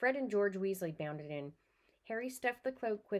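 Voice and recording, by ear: Intonation is lively as the speaker reads aloud in a natural voice.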